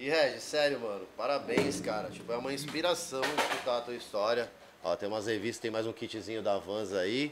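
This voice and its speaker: Loud background noise surrounds a man speaking. He goes at a fairly quick pace with ordinary pitch variation. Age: 40s. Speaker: podcast host, skateboarder; podcast host. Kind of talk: casual interview. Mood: warm, admiring. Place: studio. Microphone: studio mic.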